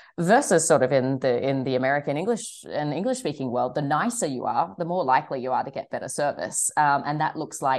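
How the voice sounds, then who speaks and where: A woman with an Australian accent speaks at a fairly quick pace in a very deep, low voice. Her intonation is lively, and the background is quiet. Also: hardly any pauses. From Australia, Sydney. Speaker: wine shop owner. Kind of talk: interview. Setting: studio.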